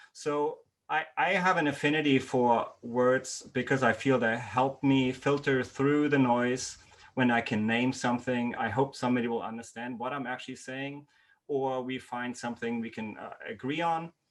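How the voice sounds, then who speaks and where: The speaker has a non-native accent and fairly even intonation at a moderate pace. The background is quiet. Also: man, medium pitch for a man. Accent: non-native accent, noticeable. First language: not English. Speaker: university lecturer, workshop host. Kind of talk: online workshop presentation. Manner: hesitant, many fillers.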